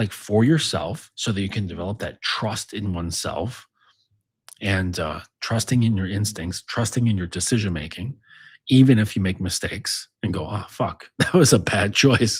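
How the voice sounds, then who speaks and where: Heard in a very clean recording with a silent background, a man with a fairly low, somewhat breathy voice speaks at a moderate pace with ordinary pitch variation. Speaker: dominance coach and author. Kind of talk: casual monologue. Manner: casual, filler-heavy.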